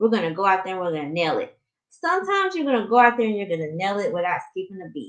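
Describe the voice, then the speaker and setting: In a strong Southern US accent, a woman talks at a very fast pace. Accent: heavy Southern US. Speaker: life coach. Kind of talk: live stream coaching talk. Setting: live stream. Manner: slightly muffled; casual, conversational.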